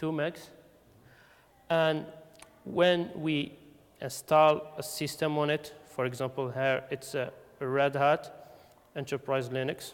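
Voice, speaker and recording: With a non-native accent, a man talks at a very slow pace and a fairly high pitch, his intonation monotone and flat, leaving long, frequent pauses. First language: not English. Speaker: conference speaker. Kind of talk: technical talk. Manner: halting, many fillers.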